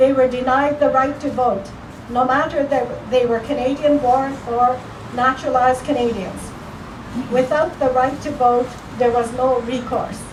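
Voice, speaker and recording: Her high voice stays monotone with flat intonation at a moderate pace. Noticeable background noise sits behind this woman. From Japanese Canadian. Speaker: museum curator. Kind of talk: ceremony speech. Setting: outdoors.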